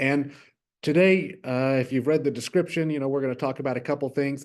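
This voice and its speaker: A man speaks at a medium pitch in a Texas accent. His pitch varies in an ordinary way over a quiet background. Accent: Southern US (Texas). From West Texas. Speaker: innovation lab manager. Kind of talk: virtual workshop presentation. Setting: virtual workshop.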